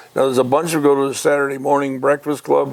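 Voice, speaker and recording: A man talks with a Michigan accent over noticeable background noise. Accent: US Midwest (Michigan). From Detroit area, Michigan. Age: 80s+. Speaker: retired racing businessman. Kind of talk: casual interview chat. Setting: radio show interview. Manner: animated storytelling.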